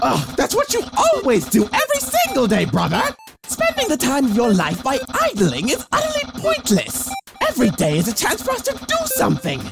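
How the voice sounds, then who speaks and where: Loud music plays behind a put-on character voice that moves at a moderate pace. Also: man, extremely high pitch for a man. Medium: dub. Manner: loud, energetic.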